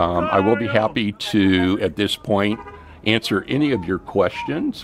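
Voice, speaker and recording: Noticeable background noise sits behind a man with a fairly low pitch. He speaks at a moderate pace with ordinary pitch variation. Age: 60s. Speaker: retirement and crypto channel host. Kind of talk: livestream commentary and personal story. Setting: livestream.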